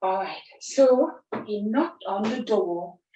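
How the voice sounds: A natural reading voice. The pitch varies in an ordinary way.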